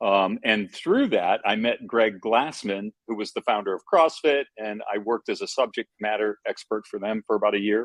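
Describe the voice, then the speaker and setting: The delivery has hardly any pauses. It moves at a moderate pace. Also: man. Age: 60s. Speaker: fitness franchise founder. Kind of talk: interview. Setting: call.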